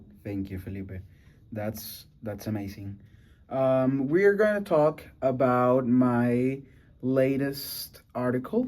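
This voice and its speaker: A man's medium-pitched voice with a Venezuelan accent, lively intonation, big swings in loudness and a very slow pace. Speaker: student podcast host. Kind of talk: casual podcast conversation. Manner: halting, with many fillers.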